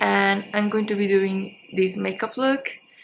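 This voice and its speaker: A woman's medium-pitched voice with a Spanish accent at a fairly slow pace. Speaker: beauty vlogger. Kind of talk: makeup tutorial. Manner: casual, halting.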